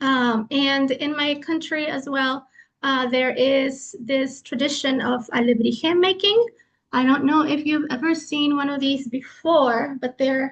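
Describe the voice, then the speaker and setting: A woman with a Spanish accent speaks at a fairly slow pace in a high pitch, her pitch varying in an ordinary way. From Mexico. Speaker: lecturer. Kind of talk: lecture.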